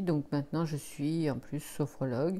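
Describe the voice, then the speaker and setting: A dark, mellow tone in a very clean recording with a silent background. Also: woman. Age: 60s. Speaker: energy healer and sophrologist. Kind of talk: interview. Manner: hesitant, many fillers.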